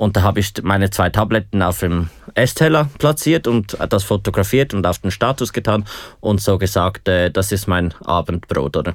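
A man with a fairly low pitch talks at a moderate pace with lively intonation and very even loudness, on a very clean recording with a silent background. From Switzerland, Aargau. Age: 20s. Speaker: hospitality student living with HIV. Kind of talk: interview. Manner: hesitant, many fillers.

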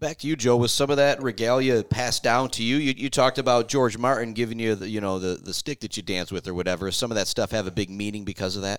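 This man talks at a very fast pace with an American accent. His pitch variation is ordinary. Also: medium pitch for a man, hardly any pauses. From Michigan. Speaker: radio host. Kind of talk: casual interview.

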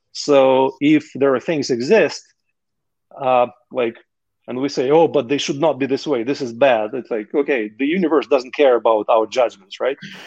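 With a Russian accent, a man speaks at a moderate pace in a medium pitch, using ordinary pitch variation. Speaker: entrepreneur. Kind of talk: casual interview conversation.

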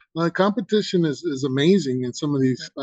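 A man speaks with a fairly high pitch. The sound is dry and close, with no echo. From Houston, Texas (born in Mexico). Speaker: artist and former football player. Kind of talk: casual chat. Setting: video call. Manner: soft-spoken.

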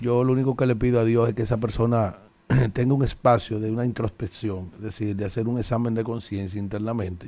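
A man talks at a medium pitch. He speaks with a Dominican accent. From Dominican Republic. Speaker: radio co-host. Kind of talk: casual chat.

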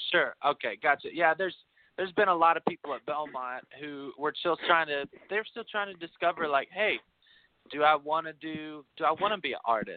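With an American accent, a man uses an ordinary speaking voice at a fairly high pitch, speaking at a fairly quick pace with ordinary pitch variation. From Kentucky, US. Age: 20s. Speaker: singer-songwriter. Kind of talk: casual interview chat. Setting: video call.

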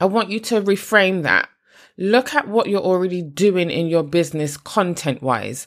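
Here a woman speaks with a British accent at a moderate pace. The recording is very clean, with a silent background. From UK. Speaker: podcast host and podcast editor. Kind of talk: solo podcast monologue with tips.

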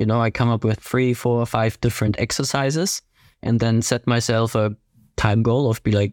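A man with a German accent speaks at a fairly quick pace and a medium pitch. The recording is very clean with a silent background and a dry, close sound with no echo. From southern Germany (Ingolstadt, Bavaria). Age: 20s. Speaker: fitness racing athlete. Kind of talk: casual chat.

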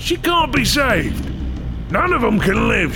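Loud background noise surrounds a man doing a put-on character voice at a moderate pace. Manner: profane, sneering.

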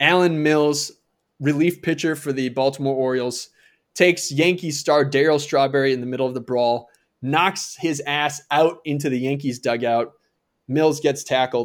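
A man with an American accent, a fairly high pitch, ordinary pitch variation and an unremarkable speaking voice. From Minnesota. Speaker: podcast co-host, former baseball player and comedy writer. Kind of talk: casual chat.

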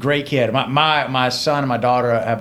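A man speaks fairly quickly, his voice carrying an audible room echo. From Georgia, US South (LaGrange). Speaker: trial lawyer. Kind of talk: casual chat.

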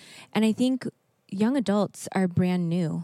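A woman with an American accent speaks at a medium pitch in a dark, mellow tone. The sound is dry and close with no echo, on a very clean recording over a silent background. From US Northwest, Seattle area. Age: 30s. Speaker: young adult ministry leader. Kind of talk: panel discussion.

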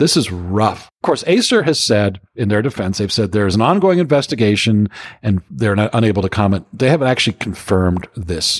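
A man with an unremarkable speaking voice, fairly low pitch, lively intonation and a fairly quick pace, on a very clean recording with a silent background. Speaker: security industry veteran. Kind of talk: casual chat.

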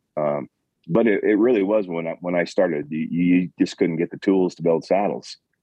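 This man has a Montana accent. His very deep, low pitch shows ordinary variation. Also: moderate pace. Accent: Montana, western US. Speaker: Western store owner and saddle maker. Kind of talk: casual interview.

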